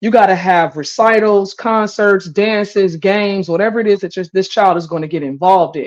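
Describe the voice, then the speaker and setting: With a plain, everyday voice, a woman talks at a fairly quick pace with hardly any pauses, her medium pitch showing ordinary variation. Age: 40s. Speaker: live stream talk show host. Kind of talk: casual live-stream debate. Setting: live stream, kitchen.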